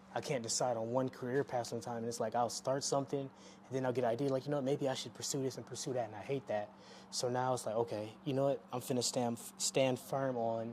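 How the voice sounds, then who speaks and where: In a dark, mellow tone, the voice moves at a very fast pace with fairly even intonation. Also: man. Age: 20s. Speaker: vlogger. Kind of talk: casual monologue.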